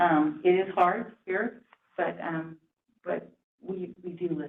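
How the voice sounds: A woman speaks slowly at a fairly low pitch. Her intonation stays fairly even.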